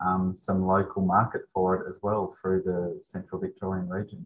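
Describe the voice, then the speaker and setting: His pitch is fairly low. The man keeps a moderate pace. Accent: Australian. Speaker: emergency doctor. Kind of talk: interview.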